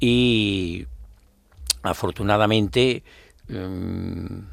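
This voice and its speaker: Over a silent background in a very clean recording, a man talks with lively intonation and vocal fry. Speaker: brotherhood leader and election candidate. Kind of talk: radio interview. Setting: radio studio. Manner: halting.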